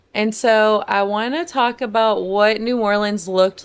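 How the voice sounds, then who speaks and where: Over a silent background in a very clean recording, a woman with a normal speaking voice talks at a fairly slow pace, her medium pitch showing ordinary variation. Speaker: podcast host. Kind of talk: podcast interview questions.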